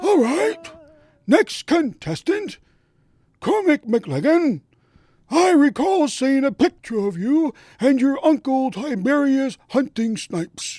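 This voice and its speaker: A man uses a put-on character voice at an extremely high pitch. He talks at a fairly slow pace with long, frequent pauses, in a very clean recording with a silent background. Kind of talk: comic overacting. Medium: audio drama. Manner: pompous, showman-like.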